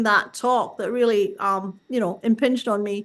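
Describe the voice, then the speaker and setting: A woman in a Scottish accent, with noticeable background noise. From Scotland, Glasgow. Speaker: artist and workshop organizer. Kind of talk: interview.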